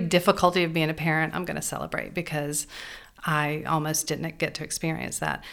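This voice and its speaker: Recorded very cleanly against a silent background, a woman with a fairly low pitch talks at a moderate pace in an unremarkable speaking voice. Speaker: boutique owner and charity fundraiser. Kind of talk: interview.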